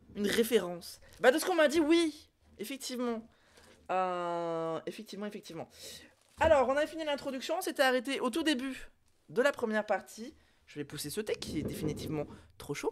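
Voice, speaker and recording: On a very clean recording with a silent background, a woman with a high pitch talks at a fairly quick pace, her pitch swinging very widely between long, frequent pauses. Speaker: streamer. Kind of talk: casual chat. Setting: live stream. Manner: hesitant, many fillers.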